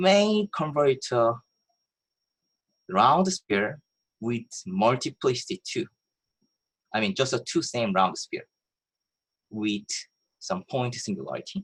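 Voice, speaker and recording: A man speaks very slowly in a somewhat breathy voice with very wide pitch swings. The sound is dry and close, with no echo. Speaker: mathematics professor. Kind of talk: lecture. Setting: video call.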